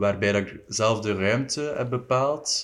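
The recording is very clean with a silent background. A man with a medium pitch and ordinary pitch variation speaks at a very slow pace. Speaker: visual artist. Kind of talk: casual chat.

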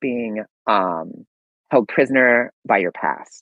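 The speaker is a man with a medium-pitched voice. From US, Maryland suburbs of Washington DC. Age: 40s. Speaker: podcast guest. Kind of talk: casual chat.

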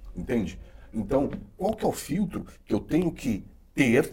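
A man's somewhat breathy voice with a dark, mellow tone, very wide pitch swings and a fairly slow pace. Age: 40s. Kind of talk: casual chat.

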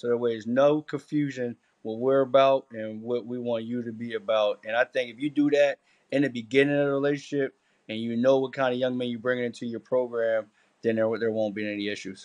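In an American accent, a man talks at a medium pitch and a fairly quick pace with monotone, flat intonation against a quiet background. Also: dry, close sound with no echo. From Camden, New Jersey. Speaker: college football coach. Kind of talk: casual chat.

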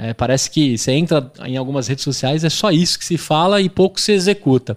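Against a silent background on a very clean recording, this man's fairly quick speech swings very widely in pitch. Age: 30s. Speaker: podcast host. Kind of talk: interview. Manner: animated.

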